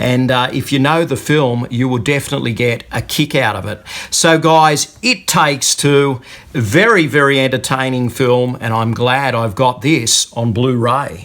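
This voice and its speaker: This man has an Australian accent and a medium pitch with ordinary variation. He speaks at a fairly slow pace. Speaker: YouTube movie reviewer. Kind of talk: unboxing video talk to camera. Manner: casual, with many fillers.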